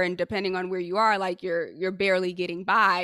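A woman speaks at a medium pitch with an American accent and a bright, sharp tone. The recording is very clean, with a silent background. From Haiti, raised in the US. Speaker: executive coach. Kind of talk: interview.

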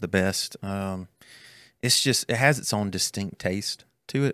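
A man with a Southern US accent speaks at a fairly low pitch in a bright, sharp tone, slow-ish and with fairly even intonation. Long, frequent pauses break it up on a very clean recording with a silent background. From Alabama (north of Birmingham). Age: 20s. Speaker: student ministry pastor. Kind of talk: casual chat. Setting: studio.

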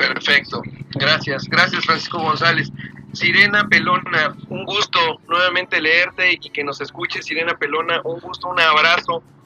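This man's voice sits fairly high for a man, with fairly even intonation and a moderate pace, and there is noticeable background noise. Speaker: online radio host. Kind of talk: live talk show.

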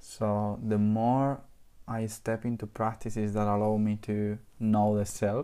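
A man with a non-native accent speaks at a fairly slow pace in a fairly low pitch, his tone dark and mellow and his intonation flat and monotone. His loudness is very even, and the recording is very clean with a silent background. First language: not English. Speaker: podcast host. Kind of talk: casual chat.

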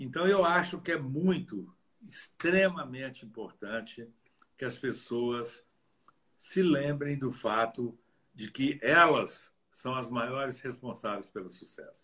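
A man with a bright, sharp tone, a very slow pace, and lively intonation. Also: medium pitch for a man, big swings in loudness. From Brazil, Minas Gerais (Diamantina). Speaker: dentist and professor. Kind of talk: interview in a live stream.

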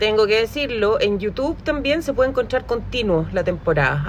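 A woman with a Chilean accent speaks at a moderate pace. Her intonation is lively, and there is noticeable background noise. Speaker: podcast host. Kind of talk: casual chat.

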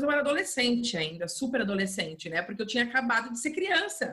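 A woman's fairly high, bright, sharp voice. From interior of Rio de Janeiro state, Brazil. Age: 30s. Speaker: English teacher and home decor influencer. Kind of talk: casual interview chat.

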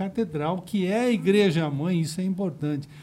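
The man's dark, mellow tone comes at a moderate pace. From Osasco, São Paulo. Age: 60s. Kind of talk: casual interview chat.

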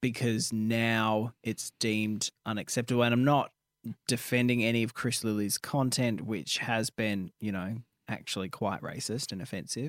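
In a dry, close sound with no echo, a man uses a normal speaking voice at medium pitch, moderate pace and fairly even intonation. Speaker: radio co-host. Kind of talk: casual banter, radio show. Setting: radio studio. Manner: sarcastic, chatty.

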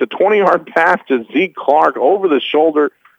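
Lively in intonation, a man with an American accent speaks at a fairly slow pace. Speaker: radio play-by-play announcer. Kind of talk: live sports commentary, play-by-play. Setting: broadcast booth, press box at stadium.

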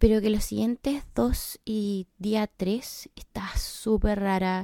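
With a Chilean accent, a woman speaks at medium pitch in a dark, mellow tone, on a very clean recording with a silent background and a dry, close sound with no echo. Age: 20s. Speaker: podcaster. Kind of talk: personal podcast monologue.

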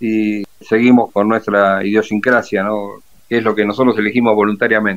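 A man talks at a fairly low pitch and a moderate pace. His intonation is monotone and flat, with a quiet background. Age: 60s. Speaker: retired navy officer and war veteran. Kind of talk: interview.

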